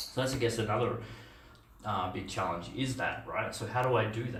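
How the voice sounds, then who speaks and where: The speaker has an Australian accent and a moderate pace. Light background noise and audible room echo are present. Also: man. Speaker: software engineer and conference speaker; conference speaker. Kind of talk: conference talk. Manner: halting, many fillers. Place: meeting room.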